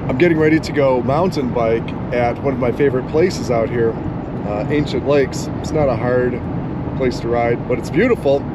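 A man at a fairly quick pace with ordinary pitch variation, dry sound with no echo, and loud background noise. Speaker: travel vlogger. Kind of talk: casual vlog chat. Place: car.

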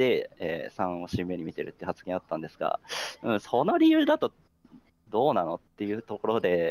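The recording sounds dry and close, without echo. A man speaks at a moderate pace. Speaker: werewolf game player. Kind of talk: game discussion. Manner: hesitant, filler-heavy.

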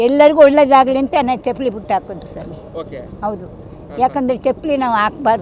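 A woman's high-pitched voice with lively intonation, a dry sound with no echo, and light background noise. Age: 80s+. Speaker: voter. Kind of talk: interview answer. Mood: cheerful, proud. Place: street. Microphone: handheld.

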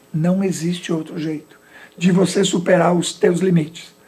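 A man with a dark, mellow tone speaks at a fairly slow pace, his pitch high and his intonation fairly even. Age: 60s. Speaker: motivational speaker and business director; motivational speaker. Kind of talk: interview on local TV talk show. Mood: calm, motivational. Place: studio.

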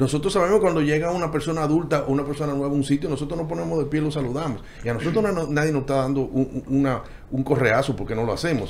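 Light background noise sits under this recording. A man speaks at a very fast pace. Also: ordinary pitch variation. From Dominican Republic. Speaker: architect, panel guest; guest. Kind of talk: panel discussion. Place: studio. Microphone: studio mic.

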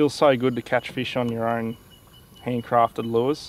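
The man talks at a moderate speed. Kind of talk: casual vlog chat. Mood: pleased, excited after catch. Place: boat. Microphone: camera far.

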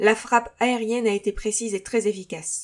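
In an ordinary speaking voice, a woman talks at a moderate pace. Her pitch is fairly high and her intonation fairly even. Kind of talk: sci-fi audio drama, mission report read aloud. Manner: formal, clipped, military.

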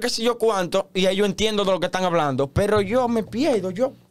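A man speaks with a Dominican Cibao accent. His pace is fairly quick and his pitch variation is ordinary. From Dominican Republic, Santiago; Dominican Republic. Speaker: TikTok content creator. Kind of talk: casual interview chat. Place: studio. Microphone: studio mic.

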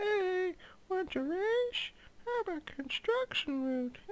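This put-on character voice sits at an extremely high pitch. The pace is fairly slow. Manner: put-on voice, redone.

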